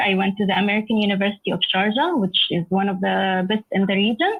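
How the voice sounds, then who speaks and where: A woman at medium pitch, fairly quick and somewhat breathy, with an Arabic accent. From Egypt, schooled in the UAE. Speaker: software engineer. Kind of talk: lecture.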